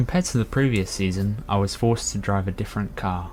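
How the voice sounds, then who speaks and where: Ordinary pitch variation in a man's fairly low-pitched voice. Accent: British. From UK. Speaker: racing game player introducing himself. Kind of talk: prepared self-introduction.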